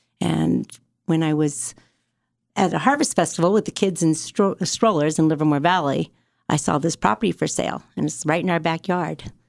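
A woman with an American accent speaks at a moderate pace with a very deep, low pitch, ordinary pitch variation, and vocal fry, in a very clean recording with a silent background and a dry, close sound with no echo. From US West Coast, Fremont, California. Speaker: winery owner and winemaker. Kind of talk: casual chat. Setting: studio.

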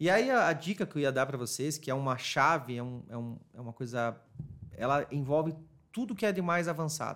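A man speaks at a fairly quick pace with lively intonation. His voice is fairly high. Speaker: marketing agency specialist in retail. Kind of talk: casual interview chat. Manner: fast.

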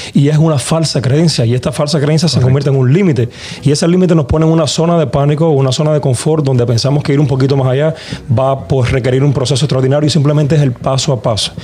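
A man's very fast speech at a fairly high pitch, with fairly even intonation and noticeable background noise. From Cuba. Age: young. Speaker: musician. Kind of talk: casual chat.

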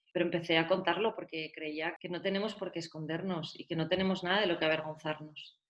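Here is a woman with an unremarkable speaking voice, fairly low in pitch and fairly even in intonation. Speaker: patient advocate, cannabis foundation founder. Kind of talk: interview.

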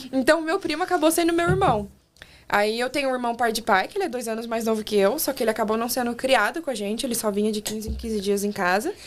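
Her pitch fairly high, a woman speaks at a very fast pace with lively intonation. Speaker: former au pair. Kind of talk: casual chat. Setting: studio.

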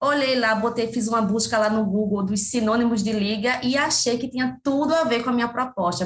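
A woman speaks in a northeastern Brazilian accent, with ordinary pitch variation. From Pernambuco, Brazil (Camaragibe, near Recife). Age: 30s. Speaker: cultural producer and consultant. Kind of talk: interview conversation.

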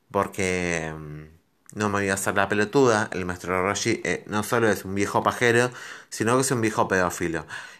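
Here is a man talking at a moderate pace. His pitch is fairly low, with ordinary variation. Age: 30s. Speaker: podcast host. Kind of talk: solo monologue podcast. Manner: halting, many fillers.

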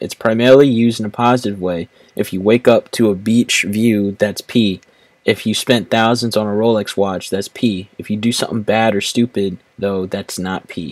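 A man uses a put-on, robotic character voice at a fairly low pitch and moderate pace. The recording is very clean with a silent background and a dry, close sound with no echo. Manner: flat, robotic, like a voice assistant.

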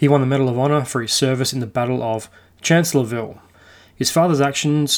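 This man talks at a medium pitch in an unremarkable speaking voice. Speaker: podcast host. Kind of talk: true-crime history narration, storytelling a historical account. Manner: conversational, relaxed storyteller with casual asides and mild swearing; steady, measured narrative pacing, detail-heavy.

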